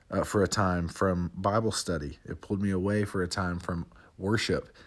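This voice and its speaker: A man talks at a fairly quick pace in a very deep, low pitch with fairly even intonation. The recording is very clean, with a silent background. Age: 20s. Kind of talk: casual reflective monologue. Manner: casual, halting with fillers.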